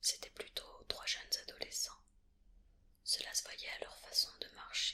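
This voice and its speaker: The voice is whispering at a very slow pace. Long, frequent pauses break it up. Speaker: ASMR creator. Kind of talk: read story. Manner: whispered.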